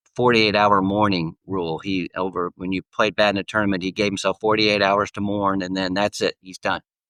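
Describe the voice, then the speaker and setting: In an American accent, the speaker talks at a fairly quick pace with monotone, flat intonation, the sound dry and close with no echo against a quiet background. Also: man. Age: 70s. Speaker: golfer and author. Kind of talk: podcast interview. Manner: halting, many fillers.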